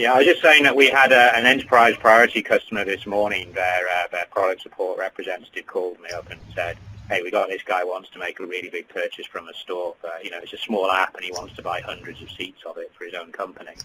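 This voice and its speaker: Very fast speech with a British accent, big swings in loudness and hardly any pauses. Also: man. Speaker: developer technical services head. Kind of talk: webinar presentation.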